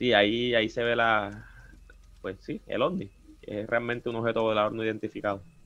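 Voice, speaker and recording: With a plain, everyday voice, a man talks at a fairly quick pace, medium pitch, and fairly even intonation. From Colombia, Cartagena (Caribbean coast). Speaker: paranormal investigator and chemical engineer. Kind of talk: casual chat.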